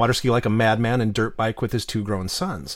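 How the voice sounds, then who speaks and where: In an American accent, a man with an ordinary speaking voice talks at a fairly quick pace and medium pitch. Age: 50s. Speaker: novelist and former podcast host. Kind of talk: casual interview chat.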